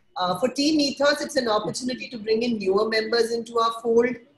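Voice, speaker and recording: Somewhat breathy, a woman speaks at a fairly high pitch and a fairly quick pace. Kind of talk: webinar presentation. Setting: online webinar.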